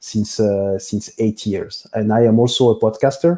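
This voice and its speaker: A man's fairly low, dark, mellow voice with a French accent at a moderate pace. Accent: French-speaking. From Belgium, Brussels. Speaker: business software consultant. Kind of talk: interview. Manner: halting, many fillers.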